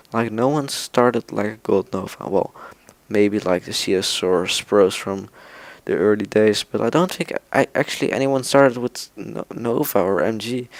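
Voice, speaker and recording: A man's medium-pitched voice, with ordinary pitch variation, comes through dry and close with no echo. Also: moderate pace. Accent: non-native. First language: not English. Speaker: gaming YouTuber. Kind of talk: casual gaming vlog talk. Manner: quiet, speaking softly at night; halting, many fillers.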